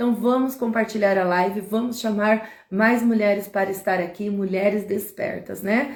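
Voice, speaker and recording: A plain, everyday voice moves fairly slowly, its pitch changing in an ordinary way. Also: woman. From Brazil, interior of Paraná. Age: 40s. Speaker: live streamer, women's empowerment speaker. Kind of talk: live stream talk, personal testimony. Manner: casual, conversational.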